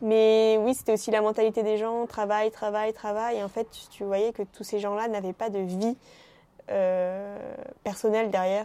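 Fairly high in pitch yet dark and mellow in tone, a woman speaks at a fairly slow pace with monotone, flat intonation. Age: 20s. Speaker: chocolate entrepreneur. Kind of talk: casual interview.

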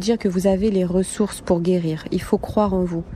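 Intonation is monotone and flat. A dark, mellow tone colors the voice. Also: woman. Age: 30s. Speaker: survivor of domestic violence, nurse. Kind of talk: testimony.

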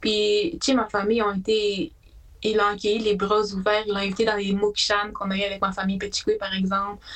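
A woman with a plain, everyday voice speaks at a medium pitch and a moderate pace, her intonation fairly even. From Quebec, Haute-Mauricie (Atikamekw community, La Tuque). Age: 20s. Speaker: student and shelter support worker. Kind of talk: casual interview.

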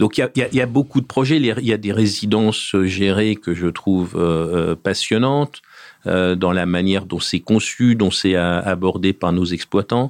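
A man speaks very slowly in a fairly low voice with ordinary pitch variation. The recording is very clean, with a silent background. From France, Paris region (Essonne). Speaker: property developer executive. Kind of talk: interview. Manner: hesitant, many fillers.

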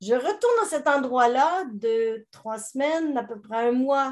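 Her voice is high for a woman. She speaks with lively intonation. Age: 70s. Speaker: business coach and author. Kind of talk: interview testimony.

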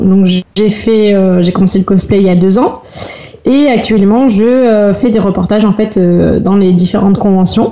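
Fairly slow speech with very even loudness and fairly even intonation, over noticeable background noise. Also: woman, medium pitch for a woman. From France, Rennes area. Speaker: cosplayer and blogger. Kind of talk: casual podcast interview.

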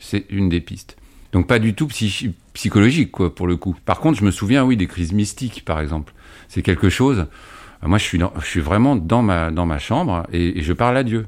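A normal speaking voice with lively intonation, delivered at a moderate pace on a very clean recording with a silent background. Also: man, fairly low pitch for a man. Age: 50s. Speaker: father-carer recovered from schizophrenia. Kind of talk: interview testimony.

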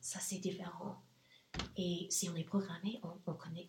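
A woman with an English accent, at a fairly slow pace. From US South, Nashville, Tennessee. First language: English (speaking French). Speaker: entrepreneur. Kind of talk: interview. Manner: halting.

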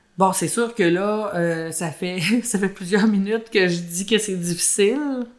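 Moderate-paced speech from a woman at a medium pitch, its pitch varying in an ordinary way. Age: 40s. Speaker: former mayor. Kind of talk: testimony.

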